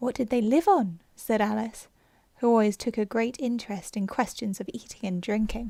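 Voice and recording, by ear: Someone reads aloud. The voice is natural.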